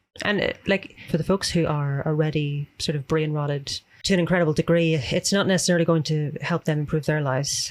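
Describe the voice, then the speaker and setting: A fairly quick pace in a Northern Irish accent. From Northern Ireland. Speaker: extremism researcher. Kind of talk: casual chat.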